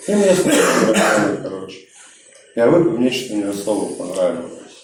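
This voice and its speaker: A man is speaking. Noticeable background noise and audible room echo fill the recording. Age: 30s. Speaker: recovering alcoholic speaker at support group. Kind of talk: testimony. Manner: casual, slangy.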